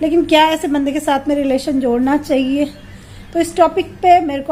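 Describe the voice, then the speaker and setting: Over noticeable background noise, a woman speaks at a moderate pace in a high pitch with fairly even intonation. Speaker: vlogger. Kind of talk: casual vlog talk. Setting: at home.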